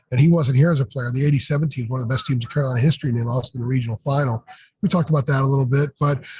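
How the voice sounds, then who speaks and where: A man speaks at a very fast pace in a medium pitch, his dark, mellow tone somewhat breathy and his intonation fairly even. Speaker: sports journalist, publisher. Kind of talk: casual podcast chat. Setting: noisy arena.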